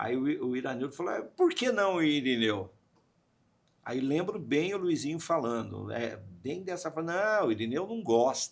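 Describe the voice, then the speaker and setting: Fairly high-pitched male speech at a fairly slow pace, with very wide pitch swings. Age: 60s. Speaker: radio/media communicator. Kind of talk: podcast interview. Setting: studio. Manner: animated storytelling.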